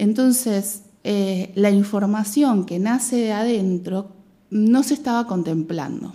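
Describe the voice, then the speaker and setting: Her voice is medium-pitched with a dark, mellow tone and ordinary pitch variation. The woman talks at a very slow pace. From Argentina, Mar del Plata. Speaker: biologist and women's health educator. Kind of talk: radio interview.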